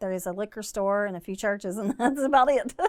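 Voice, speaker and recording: A woman is speaking. She talks with an Appalachian accent. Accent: Appalachian Southern. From US South, southern West Virginia. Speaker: breast cancer survivor and charity founder. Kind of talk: casual interview.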